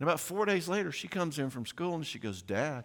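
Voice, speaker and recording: With an American accent, a man speaks fairly quickly in a fairly high, animated voice with vocal fry and very wide pitch swings, on a very clean recording with a silent background. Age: 60s. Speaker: parenting speaker and counselor. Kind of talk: audience Q&A; conference talk.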